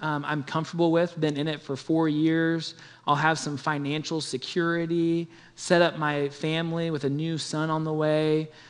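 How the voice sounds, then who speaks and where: At a moderate pace, a man speaks with a Midwestern American accent and a fairly high pitch. The background is quiet. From Kansas City area (Olathe, Kansas). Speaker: church planting pastor. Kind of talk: testimony.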